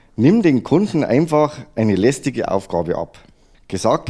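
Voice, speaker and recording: A man speaks at a moderate pace in a dark, mellow tone, his pitch swinging very widely. The recording is very clean, with a silent background. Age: 50s. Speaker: additive manufacturing entrepreneur, former service technician. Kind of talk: interview.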